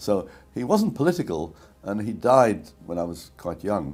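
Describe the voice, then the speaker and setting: Over music in the background, a man talks at a moderate pace with a fairly low pitch. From Czechoslovakia (Prague). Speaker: Holocaust survivor. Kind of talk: testimony. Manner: halting.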